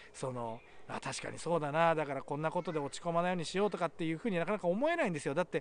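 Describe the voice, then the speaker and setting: Over light background noise, a man with a high pitch speaks at a very fast pace with ordinary pitch variation, the sound dry with no echo. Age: 40s. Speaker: YouTuber with a rare illness. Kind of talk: video message to viewers. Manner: halting. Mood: earnest, encouraging. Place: forest.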